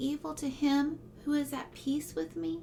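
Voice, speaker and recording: Music plays in the background. The soft-spoken voice moves at a very slow pace. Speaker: ASMR creator. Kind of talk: Bible reading.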